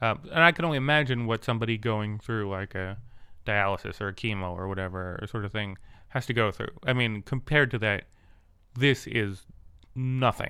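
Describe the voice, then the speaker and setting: A bright, sharp tone on a very clean recording with a silent background. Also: man, fairly low pitch for a man, ordinary pitch variation, fairly quick pace. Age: 30s. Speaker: podcast host with vision loss. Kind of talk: casual chat. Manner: animated.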